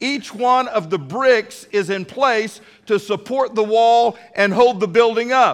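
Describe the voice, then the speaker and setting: This man speaks with a Texan accent. His voice is high. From Texas. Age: 50s. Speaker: pastor. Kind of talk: sermon. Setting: church. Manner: animated.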